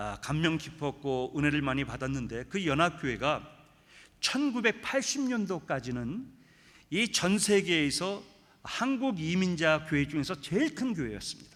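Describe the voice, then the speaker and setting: In a very clean recording with a silent background, a man with a fairly high pitch speaks at a fairly slow pace, his pitch swinging very widely. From Brazil (Korean immigrant community, São Paulo). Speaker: guest pastor at revival meeting. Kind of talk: sermon. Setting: church.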